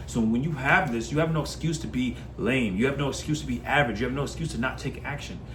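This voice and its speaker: A man rushes along at a very fast pace amid audible room echo and noticeable background noise. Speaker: self-improvement coach. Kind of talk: motivational monologue. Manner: passionate.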